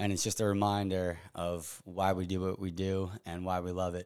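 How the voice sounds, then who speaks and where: A man talks in a monotone with very deep, low pitch. The recording is very clean against a silent background. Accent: American. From Long Island, New York (East Hampton). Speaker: professional photographer. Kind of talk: casual chat.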